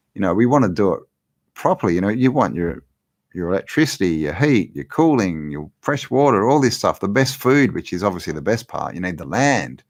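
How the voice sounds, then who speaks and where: Talking at a fairly quick pace with an Australian accent, a man with a fairly low pitch makes very wide pitch swings. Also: quiet background. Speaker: livestream host, law of attraction channel. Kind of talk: live Q&A chat. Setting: live stream. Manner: casual, halting with repetitions.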